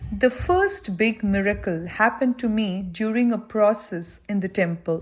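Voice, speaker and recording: Her intonation lively, a woman talks in a somewhat breathy voice. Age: 80s+. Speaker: spiritual devotee giving testimony. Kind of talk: testimony.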